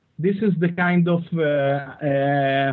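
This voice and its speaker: A man with an Israeli accent, fairly high in pitch, with ordinary pitch variation. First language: Hebrew. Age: 30s. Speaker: listener calling in. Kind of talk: call-in conversation.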